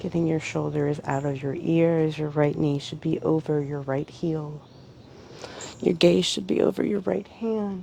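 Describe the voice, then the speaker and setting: With lively intonation, a woman speaks at a fairly slow pace in a very deep, low pitch. Noticeable background noise is present. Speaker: yoga instructor. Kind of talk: guided yoga class instruction.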